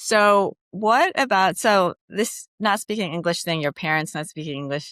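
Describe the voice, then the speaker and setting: Lively intonation marks a woman speaking at a fairly slow pace. The sound is dry and close with no echo, in a very clean recording with a silent background. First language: non-English. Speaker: career coach and podcast host. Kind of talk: interview.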